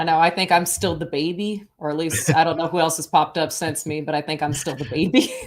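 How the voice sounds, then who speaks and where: A woman speaks very fast with a fairly low pitch and fairly even intonation, hardly pausing at all. Noticeable background noise is present. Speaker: podcast host. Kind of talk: casual chat.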